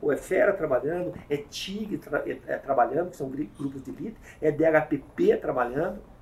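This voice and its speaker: His pitch rises and falls across a very wide range. The man keeps a moderate pace. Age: 50s. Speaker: police chief. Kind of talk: interview.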